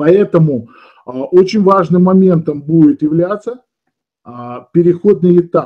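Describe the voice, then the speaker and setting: Against a quiet background, a man with a high voice speaks at a fairly slow pace, with ordinary pitch variation, very even loudness and long, frequent pauses. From Odesa, Ukraine. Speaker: esoteric teacher and webinar leader. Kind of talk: webinar lecture. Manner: conversational, explanatory, somewhat halting with fillers. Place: home room. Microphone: webcam.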